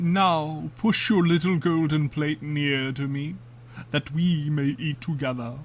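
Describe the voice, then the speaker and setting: A woman uses a put-on character voice with a very deep, low pitch. She speaks at a fairly slow pace over clear background noise. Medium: read story. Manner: insistent.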